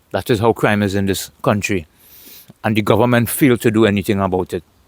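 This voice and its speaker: A man with a Trinidadian accent, in a dry, close sound with no echo. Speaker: vlogger. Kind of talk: casual monologue vlog.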